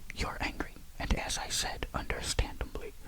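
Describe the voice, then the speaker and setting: Someone is whispering in a calm tone. Noticeable background noise runs underneath. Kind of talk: sleep story. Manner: whispered; calm, soft.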